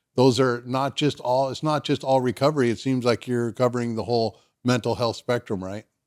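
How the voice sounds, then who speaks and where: Recorded with a dry, close sound and no echo, a man with an American accent and medium pitch speaks at a fairly quick pace with fairly even intonation in a normal speaking voice. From Southern California. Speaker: podcast host. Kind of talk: podcast interview.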